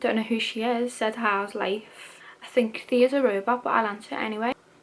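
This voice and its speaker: A woman's fairly high voice with fairly even intonation against noticeable background noise. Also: moderate pace. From Liverpool, England. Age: 20s. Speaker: YouTuber, university student. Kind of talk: casual Q&A vlog.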